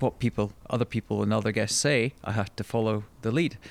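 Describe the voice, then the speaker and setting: Here is a man with a Scottish accent at medium pitch. His intonation is monotone and flat. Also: dry, close sound with no echo. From Scotland. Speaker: podcast host. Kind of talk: interview.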